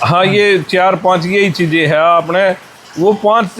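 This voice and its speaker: Noticeable background noise under a man's high voice, its pitch varying in an ordinary way. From Haryana, India. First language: Haryanvi (speaking Hindi). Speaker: monk, former wrestler. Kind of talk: interview.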